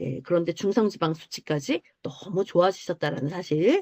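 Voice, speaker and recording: Using a normal speaking voice, a woman with a fairly low pitch talks at a moderate pace with ordinary pitch variation, in a dry, close sound with no echo. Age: 50s. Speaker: health supplement group leader. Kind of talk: online group presentation. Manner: explanatory, with many fillers.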